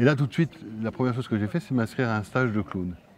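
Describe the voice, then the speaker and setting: A man's voice with ordinary pitch variation. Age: 50s. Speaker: film director and actor. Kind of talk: interview. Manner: halting, repeats words.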